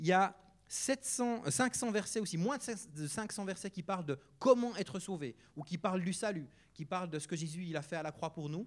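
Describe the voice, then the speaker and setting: The recording is very clean with a silent background. A man speaks at a moderate pace with very wide pitch swings. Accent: Neuchâtel. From Switzerland, canton of Neuchâtel. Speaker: guest preacher, charity worker. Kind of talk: sermon. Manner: casual, hesitant with many fillers.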